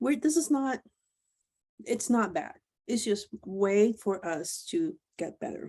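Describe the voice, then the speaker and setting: With vocal fry and a dark, mellow tone, a woman speaks at a very slow pace and fairly high pitch, her voice swinging very widely and broken by long, frequent pauses. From Puerto Rico. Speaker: webinar host and program coordinator trainer. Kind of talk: online training presentation. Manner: loud.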